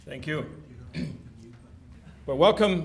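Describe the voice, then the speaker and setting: This man speaks with a Midwestern American accent. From Detroit, Michigan. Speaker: retired entomology professor and beekeeper. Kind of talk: keynote lecture. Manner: hesitant, many fillers. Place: hall. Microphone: podium.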